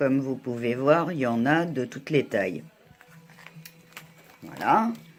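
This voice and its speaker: Music plays in the background as a woman with a very deep, low pitch speaks with lively intonation. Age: 60s. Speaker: beauty vlogger. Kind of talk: tutorial. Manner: hesitant.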